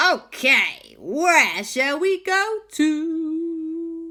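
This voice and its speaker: A woman uses a put-on character voice at an extremely high pitch, with ordinary pitch variation. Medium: read story.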